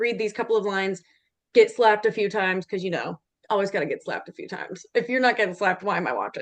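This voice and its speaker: Very fast, animated American-accented speech with ordinary pitch variation against a quiet background. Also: woman, medium pitch for a woman. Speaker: actor. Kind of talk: interview.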